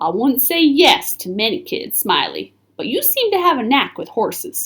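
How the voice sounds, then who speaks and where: Using a put-on character voice, a woman drawls at a moderate pace in a high pitch with very wide pitch swings. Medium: read story. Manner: folksy drawl with Western slang.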